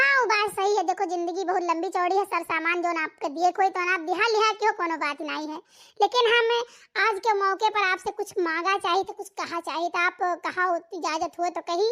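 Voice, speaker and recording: A cartoonish character voice from a woman, extremely high in pitch and fairly quick, on a very clean recording with a silent background. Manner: polite, earnest.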